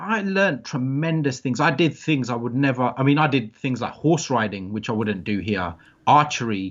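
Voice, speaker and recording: A man of medium pitch with a British accent speaks at a moderate pace, his pitch swinging very widely. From England. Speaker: adventure travel business owner. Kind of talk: interview. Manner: halting.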